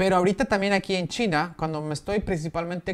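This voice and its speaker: A man is speaking. He talks with a Mexican accent. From Mexico. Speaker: vlogger living abroad. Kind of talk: casual vlog explainer. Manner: conversational, with frequent fillers. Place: home room.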